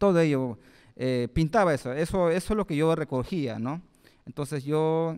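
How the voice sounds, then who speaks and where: The background stays quiet while a man talks. His pace is fairly slow, and his pitch varies in an ordinary way. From Peru, Lima (born in Pucallpa, Ucayali); Lima. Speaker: guest. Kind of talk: public talk. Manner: halting, with frequent fillers. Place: hall. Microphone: handheld.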